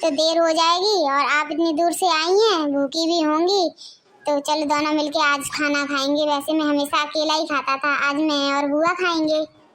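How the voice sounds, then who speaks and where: A woman performs a cartoonish character voice at an extremely high pitch. Her intonation stays fairly even. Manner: plain, humble.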